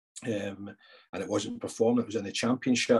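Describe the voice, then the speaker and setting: Against a quiet background, a man talks at a fairly quick pace with a dry, close sound and no echo. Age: 50s. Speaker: football club sporting director. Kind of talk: interview.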